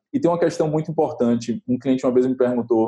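The speaker is a man with a dark, mellow tone. He talks at a very fast pace. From Bahia, Brazil (rural area near Salvador). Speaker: brand designer. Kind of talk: interview.

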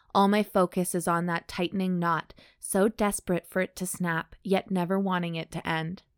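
Someone reads aloud in a natural voice. The intonation stays fairly even.

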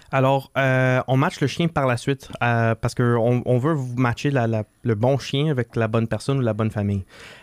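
Medium-pitched man with an unremarkable speaking voice, fairly even intonation, very even loudness and hardly any pauses, in a dry, close, echo-free, very clean recording with a silent background. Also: moderate pace. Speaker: assistance dog foundation co-founder. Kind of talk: interview.

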